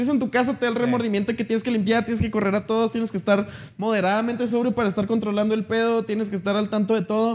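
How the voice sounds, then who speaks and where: Very fast and monotone, a man talks with flat intonation at a high pitch. His loudness stays very even. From northern Mexico, Chihuahua. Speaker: musician. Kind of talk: casual chat.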